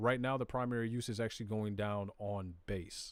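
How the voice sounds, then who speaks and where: On a very clean recording with a silent background, a man speaks in an American accent at a moderate pace. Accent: Southern US, comes out at times. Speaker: crypto live streamer. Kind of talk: live stream tutorial. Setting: live stream. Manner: casual, conversational.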